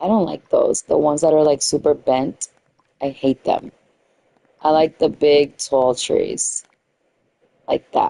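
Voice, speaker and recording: A woman in a New York accent, at a fairly slow pace with long, frequent pauses and very even loudness, in a dry, close sound with no echo. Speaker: gaming streamer. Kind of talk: casual live-stream commentary. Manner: chatty, thinking aloud.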